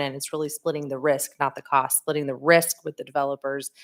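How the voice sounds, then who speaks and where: Loud speech with monotone, flat intonation. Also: woman. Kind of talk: council meeting discussion.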